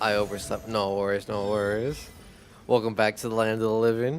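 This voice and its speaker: With a Spanish accent, a man speaks at a fairly slow pace in a fairly low, monotone voice with flat intonation. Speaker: video game streamer. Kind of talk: live gameplay stream chat.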